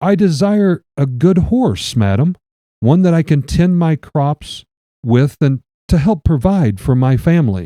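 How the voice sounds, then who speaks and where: A man's put-on character voice, nervous and shaky, fairly high and fairly slow, with very wide pitch swings. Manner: shaky, nervous, pleading.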